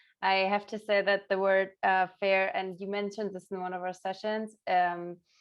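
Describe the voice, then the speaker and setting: Here a woman speaks with a German accent. Her pitch sits at a medium level. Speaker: negotiation practice participant. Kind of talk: casual feedback chat.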